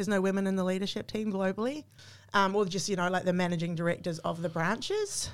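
A woman's very fast, medium-pitched delivery in a New Zealand accent, with very even loudness and fairly even intonation. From New Zealand, small town. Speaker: coffee machine brand marketing manager. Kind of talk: casual interview. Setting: in person at a venue.

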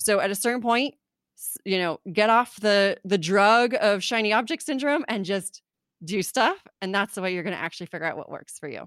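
On a very clean recording with a silent background and a dry, close sound with no echo, a woman with a Southern California accent speaks fairly quickly at a medium pitch with lively intonation. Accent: Southern California, Valley Girl. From US West Coast, California (Orange County). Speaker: podcaster and copywriter. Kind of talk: casual interview chat.

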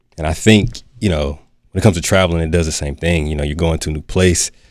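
Speaking very fast in an American accent, a man with a very deep, low pitch keeps his intonation fairly even. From North Carolina (Durham). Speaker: mental health therapist. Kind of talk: casual chat.

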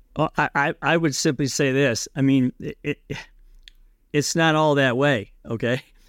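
A man talks in a fairly high voice at a fairly slow pace, the sound dry and close with no echo. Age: 50s. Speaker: blue-collar business owner and author. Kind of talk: podcast interview. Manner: animated.

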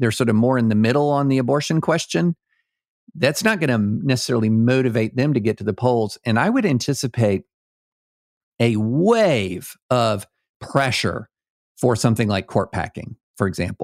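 In a very clean recording with a silent background and a dry, close sound with no echo, a man with an American accent uses an ordinary speaking voice at medium pitch, with very even loudness, lively intonation and a moderate pace. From rural US South. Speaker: lawyer and political writer. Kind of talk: casual chat.

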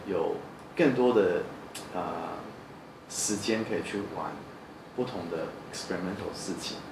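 Audible room echo and noticeable background noise surround speech whose pitch varies in an ordinary way. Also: man. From New Zealand. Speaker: architect. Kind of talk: interview. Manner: halting.

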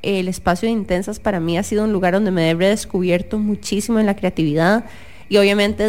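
A woman with an ordinary speaking voice talks at a moderate pace. Her pitch is medium and her intonation fairly even. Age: 30s. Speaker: podcast co-host, neuroscientist. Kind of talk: casual chat. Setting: radio studio.

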